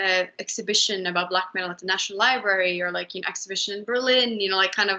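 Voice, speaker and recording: A woman's bright, sharp tone in a Norwegian accent, with fairly even intonation. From Norway. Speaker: musician, band leader. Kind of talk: interview. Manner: hesitant, many fillers.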